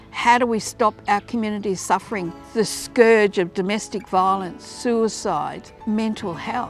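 Faint music plays in the background as a woman talks at a fairly slow pace. Her pitch is fairly high, her intonation fairly even, and the sound is dry with no echo. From Darwin, Northern Territory, Australia. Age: 70s. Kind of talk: advocacy campaign testimony. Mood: earnest, heartfelt. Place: waterside. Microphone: lapel.

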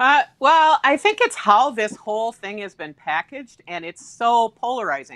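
Speaking with an Upper Midwest accent, a woman barely pauses, her pitch and loudness both swinging widely against a quiet background. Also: moderate pace. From Wisconsin (Somerset). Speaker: former state senator, political commentator. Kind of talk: political discussion panel. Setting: live stream. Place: home room.

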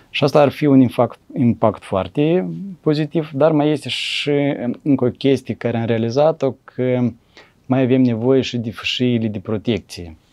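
With a Moldovan accent and a dark, mellow tone, a man speaks at a fairly slow pace with ordinary pitch variation over a quiet background. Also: medium pitch for a man. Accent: Moldovan Romanian. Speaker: forestry engineer; interview guest. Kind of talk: interview. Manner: hesitant, many fillers. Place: studio. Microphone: lapel.

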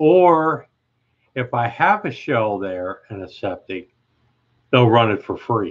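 Against a quiet background, a man with an American accent talks very slowly, with very wide pitch swings, big swings in loudness and long, frequent pauses. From Ohio. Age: 60s. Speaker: live streamer. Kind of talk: casual live chat. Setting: live stream at home. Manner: chatty, upbeat. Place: home room. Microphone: webcam.

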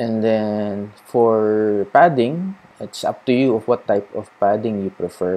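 A man with a Filipino accent, fairly low in pitch, at a fairly slow pace. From Philippines. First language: Tagalog. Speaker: cycling vlogger. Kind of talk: tutorial. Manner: casual Taglish code-switching.

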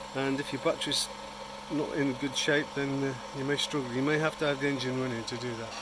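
At a fairly quick pace, a man talks over noticeable background noise. The sound is dry, with no echo. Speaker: tool reviewer. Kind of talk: product review commentary. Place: street. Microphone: phone near.

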